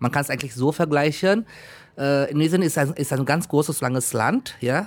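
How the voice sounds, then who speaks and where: With ordinary variation in pitch, a man delivers his words at a moderate speed. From Indonesia, North Sumatra (Batak). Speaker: German teacher. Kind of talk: interview. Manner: halting.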